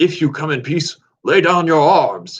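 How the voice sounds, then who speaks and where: In a put-on character voice, a man speaks at a high pitch and a moderate pace. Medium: read story.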